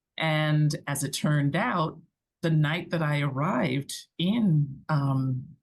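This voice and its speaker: A woman speaks very slowly in a very deep, low, somewhat breathy voice, with very even loudness and ordinary pitch variation. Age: 60s. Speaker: digital nomad and business owner. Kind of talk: casual chat.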